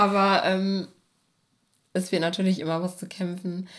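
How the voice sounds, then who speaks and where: With fairly even intonation, a woman talks in a plain, everyday voice pitched fairly low. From Germany, Bochum (Ruhr area). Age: 20s. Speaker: poet. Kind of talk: casual chat. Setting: at home on a sofa.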